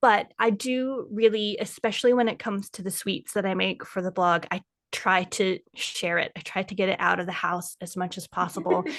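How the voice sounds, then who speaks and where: A normal speaking voice from a woman with an American accent, medium in pitch, at a moderate pace with hardly any pauses and fairly even intonation. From United States. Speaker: food blogger and kitchen witch. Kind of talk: casual interview chat.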